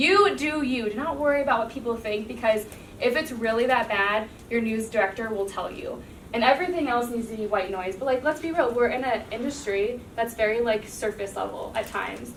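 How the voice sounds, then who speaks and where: A woman speaks at a fairly quick pace with an American accent, her pitch fairly high and its variation ordinary. Noticeable background noise and audible room echo fill the recording. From US Midwest, Cincinnati, Ohio. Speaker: TV news anchor. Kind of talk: classroom talk. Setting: classroom. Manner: casual, filler-heavy.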